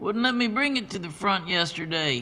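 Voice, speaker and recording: In a put-on character voice, a man speaks gruffly at a high pitch and a moderate pace. His pitch swings very widely. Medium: read story. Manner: casual, gruff, friendly.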